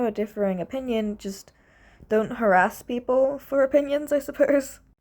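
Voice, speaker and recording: On a very clean recording with a silent background, a woman speaks at a fairly quick pace in a high, dark, mellow voice with ordinary pitch variation. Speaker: video essayist. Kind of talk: opinion monologue. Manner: stutters.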